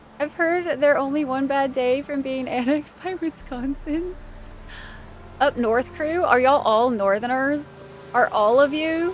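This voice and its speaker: With noticeable background noise behind her, a woman speaks fairly slowly in a high pitch with ordinary pitch variation. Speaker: game streamer. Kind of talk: live gameplay stream chat. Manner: animated.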